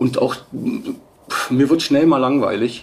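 A man speaks at a very slow pace. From Bavaria, Munich. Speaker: stock photo agency manager. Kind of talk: interview.

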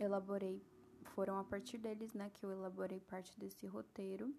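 A woman's voice at a medium pitch, dark and mellow in tone. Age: 20s. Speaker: podcast host, book reviewer. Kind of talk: solo scripted podcast monologue.

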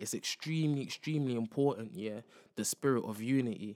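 With a London accent, a man speaks in fairly even intonation on a very clean recording with a silent background. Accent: London multicultural English. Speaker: podcast host. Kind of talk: casual monologue. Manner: casual, slangy, repeats filler phrases.

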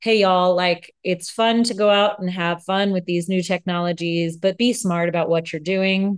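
Against a quiet background, a woman with a plain, everyday voice speaks at a moderate pace with hardly any pauses, keeping a medium pitch and fairly even intonation. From United States. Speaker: podcast co-host. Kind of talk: casual chat.

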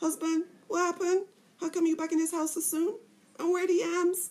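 A woman uses a put-on character voice, pitched extremely high. She speaks at a fairly quick pace with flat, monotone intonation. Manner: noisy, scolding.

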